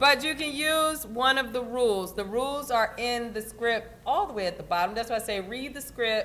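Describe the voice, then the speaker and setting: A woman speaks loudly at a high pitch and a moderate pace, with hardly any pauses and ordinary pitch variation. Audible room echo surrounds her voice. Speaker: union event organizer. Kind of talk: instructions to volunteers at an event. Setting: union hall with audience.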